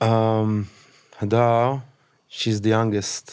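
In an Israeli accent, a man speaks with monotone, flat intonation. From Israel, kibbutz on the Gaza border. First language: Hebrew. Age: 40s. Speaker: massacre survivor. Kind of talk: testimony. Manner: halting.

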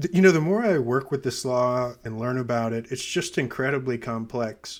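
The recording is very clean with a silent background, carrying a man's plain, everyday voice with an American accent, a medium pitch and ordinary pitch variation. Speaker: gerrymandering scientist. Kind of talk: interview discussion.

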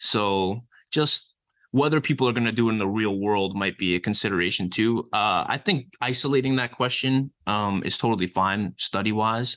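Against a quiet background, a man with a normal speaking voice and fairly low pitch talks at a moderate pace, with ordinary pitch variation and very even loudness. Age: 20s. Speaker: exercise science researcher and personal trainer. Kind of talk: casual interview.

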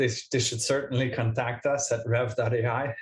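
Speaking at a moderate pace in a French accent, a man holds a medium pitch with monotone, flat intonation. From Montreal, Canada. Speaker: AI research head at a speech-to-text company. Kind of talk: casual interview.

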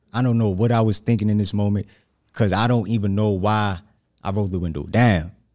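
A man with a New York accent, fairly low-pitched and fairly even in intonation, at a fairly quick pace in a very clean recording with a silent background. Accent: New York area. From New Jersey. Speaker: aspiring motivational speaker. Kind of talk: casual interview, hot seat. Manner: nervous.

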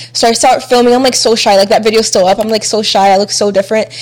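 A woman with an American accent talks very fast at a fairly high pitch, her intonation fairly even, over noticeable background noise. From Chile, raised in the US. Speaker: YouTuber and mother of three. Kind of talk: casual chat.

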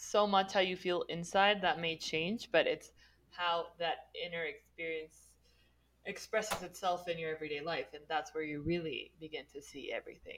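A woman with fairly low pitch and an unremarkable speaking voice. Her pitch varies in an ordinary way at a moderate pace. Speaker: podcast co-host. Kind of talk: interview conversation.

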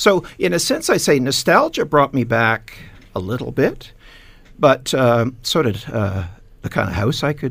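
In a Canadian accent, the speaker moves at a moderate pace with vocal fry and very wide pitch swings, recorded very cleanly against a silent background. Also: man. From Canada, east end of Hamilton, Ontario. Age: 60s. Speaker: retired businessman, heritage shop owner. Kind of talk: radio panel discussion. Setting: radio studio.

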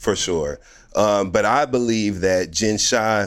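In a very clean recording with a silent background, a man talks at a fairly slow pace in a fairly low pitch. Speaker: podcast co-host and reality TV commentator. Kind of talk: casual chat. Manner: animated.

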